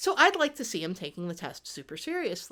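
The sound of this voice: A reading voice, unforced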